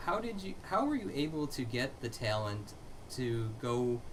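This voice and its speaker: This man has a normal speaking voice in a medium pitch. His pitch varies in an ordinary way. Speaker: interview host. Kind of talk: interview host questions.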